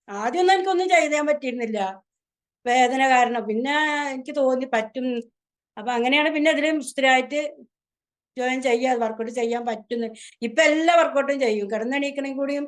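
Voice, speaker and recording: High-pitched and using ordinary pitch variation, a woman speaks. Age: 50s. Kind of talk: interview answer. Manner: casual, conversational.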